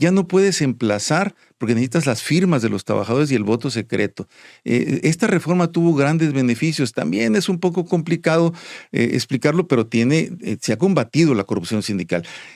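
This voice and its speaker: A man with a fairly high pitch and vocal fry talks at a fairly quick pace, his pitch swinging very widely. The recording is very clean, with a silent background and a dry, close sound with no echo. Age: 60s. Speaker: union leader. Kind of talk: interview. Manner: halting, many repetitions.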